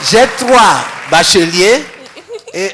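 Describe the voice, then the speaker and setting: The voice rises and falls in very wide pitch swings against noticeable background noise. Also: man. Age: 70s. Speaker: retired teacher and musician. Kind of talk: interview.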